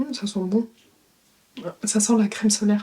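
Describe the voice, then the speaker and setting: A woman speaks at a moderate pace. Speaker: beauty youtuber. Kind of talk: product review tutorial. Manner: casual, hesitant.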